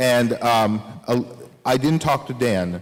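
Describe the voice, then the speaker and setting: A man's medium-pitched voice, its pitch rising and falling in a normal way, comes through noticeable noise in the background. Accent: slight Russian. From Soviet Union (Ukraine). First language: Russian. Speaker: author. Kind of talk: audience Q&A at a lecture. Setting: recital hall with audience. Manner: casual, many fillers.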